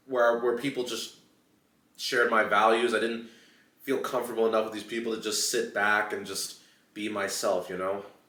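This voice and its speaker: A man with an American accent speaks at a moderate pace and a medium pitch, his intonation monotone and flat, with audible room echo around him. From United States. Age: 20s. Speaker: YouTuber. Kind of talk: casual chat. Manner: hesitant, many fillers.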